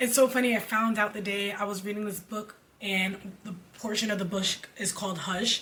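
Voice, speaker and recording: A woman's voice at a moderate pace, with monotone, flat intonation and noticeable background noise. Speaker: musical theater graduate, church singer. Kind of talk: casual talk to camera.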